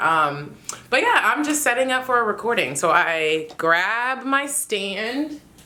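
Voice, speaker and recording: The voice makes very wide pitch swings at a very slow pace with very even loudness. Noticeable background noise is present. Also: woman, fairly high pitch for a woman. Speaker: voice actor. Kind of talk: casual talk to camera. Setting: home closet studio.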